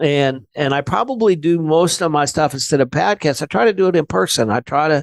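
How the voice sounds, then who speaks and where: Recorded dry and close with no echo, a man with an American accent talks fairly quickly in a normal speaking voice. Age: 60s. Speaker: insurance business owner. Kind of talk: podcast interview.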